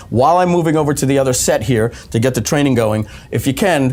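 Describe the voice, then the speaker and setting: This man's voice sits at a medium pitch. His tone is energetic and enthusiastic, with lively intonation. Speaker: webinar presenter and marketer. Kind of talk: live webinar sales training. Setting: studio, live stream. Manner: fast; energetic, enthusiastic.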